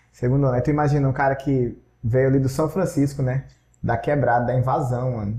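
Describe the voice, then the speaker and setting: A somewhat breathy man speaks at medium pitch in a dark, mellow tone with fairly even intonation. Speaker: language school owner. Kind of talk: casual interview.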